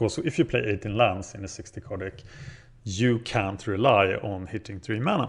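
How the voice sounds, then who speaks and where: A man with a Scandinavian accent talks at a fairly slow pace. His fairly low pitch shows ordinary variation. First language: Scandinavian language. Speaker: gaming video creator. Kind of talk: gameplay commentary. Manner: casual, thinking aloud.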